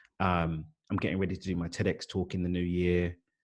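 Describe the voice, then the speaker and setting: A very deep, low-pitched man with a London accent at a fairly quick pace, quiet background. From East London, England. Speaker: life coach and author. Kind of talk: podcast interview.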